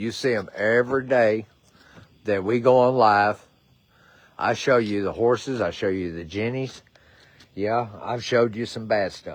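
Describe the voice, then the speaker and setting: Speaking with a Southern US accent, a man uses a medium pitch and fairly even intonation. He goes at a fairly slow pace with long, frequent pauses. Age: 60s. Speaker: horse rescuer. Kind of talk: livestream appeal.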